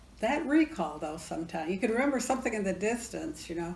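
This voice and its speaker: Audible room echo hangs around a voice with an American accent. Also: woman. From central New York. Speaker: church member interviewee. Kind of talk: casual chat. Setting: at home.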